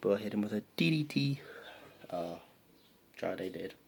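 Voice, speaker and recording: The speaker moves at a fairly slow pace with vocal fry. Pitch swings very widely throughout. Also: man. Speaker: wrestling show reviewer. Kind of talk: casual recap vlog.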